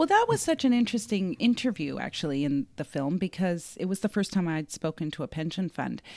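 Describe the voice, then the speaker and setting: A woman with a Canadian accent and an ordinary speaking voice, fairly low in pitch, at a fairly quick pace with hardly any pauses, in a dry, close sound with no echo. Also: lively intonation, very clean recording, silent background. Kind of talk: casual chat.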